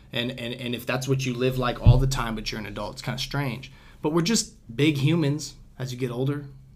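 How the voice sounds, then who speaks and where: There is audible room echo as a man with a medium pitch speaks at a fairly quick pace. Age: 20s. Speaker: podcast host. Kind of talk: casual chat. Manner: animated.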